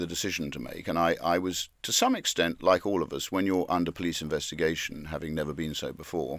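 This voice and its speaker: A man with a very deep, low pitch talks fairly quickly in fairly even intonation. The recording is very clean, the background silent. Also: hardly any pauses. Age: 60s. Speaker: politician, member of parliament. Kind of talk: interview. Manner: halting, many repetitions and restarts.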